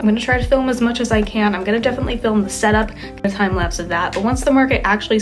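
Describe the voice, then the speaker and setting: A woman at a very fast pace, medium pitch with ordinary variation, amid noticeable background noise. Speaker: artist vlogger. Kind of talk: casual vlog talk.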